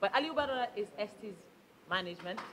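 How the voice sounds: Fast and lively in intonation, a woman talks at a medium pitch with a fairly bright tone.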